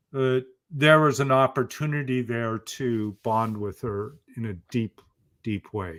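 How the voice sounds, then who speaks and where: In a very clean recording with a silent background, a man with an American accent speaks at a fairly slow pace and medium pitch, with ordinary pitch variation and big swings in loudness. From Oregon, US. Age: 60s. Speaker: motivational speaker and author. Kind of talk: interview testimony.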